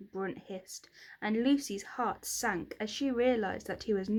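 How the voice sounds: The voice reads in a natural way, its pitch moving up and down by an ordinary amount.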